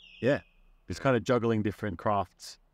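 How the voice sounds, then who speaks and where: A man speaks with an Australian accent at a fairly quick pace, his pitch fairly low. His tone is relaxed, and the sound is dry with no echo. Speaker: musician, busker. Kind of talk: interview answer. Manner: casual, relaxed. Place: garden.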